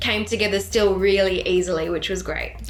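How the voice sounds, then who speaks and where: A woman at a medium pitch and moderate pace, with noticeable background noise and audible room echo. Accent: Australian. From Sydney, Australia. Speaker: country/rock singer-songwriter. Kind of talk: casual interview.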